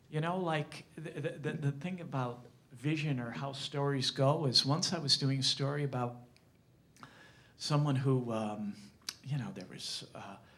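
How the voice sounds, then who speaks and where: In a room with audible echo, a man talks at a moderate pace and fairly high pitch with ordinary pitch variation. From Springfield, Massachusetts, US. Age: 60s. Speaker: journalist. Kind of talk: talk to an audience. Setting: library lecture with audience. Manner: halting, many repetitions.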